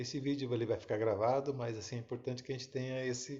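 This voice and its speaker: Monotone, flat intonation marks a man's somewhat breathy voice. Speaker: therapist or self-help speaker. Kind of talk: live stream talk. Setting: live video stream.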